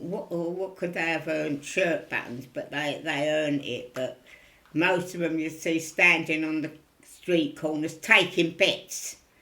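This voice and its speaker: Speaking with a Cockney accent, a woman uses a bright, sharp tone at a fairly low pitch, with fairly even intonation and a fairly slow pace. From East End of London. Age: 90s. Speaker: elderly interviewee. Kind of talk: oral history interview.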